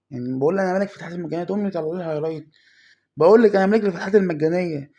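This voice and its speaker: A man speaks with an Egyptian accent in a high pitch and a dark, mellow tone. The recording is very clean, with a silent background. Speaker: mobile gaming youtuber. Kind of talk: gameplay commentary.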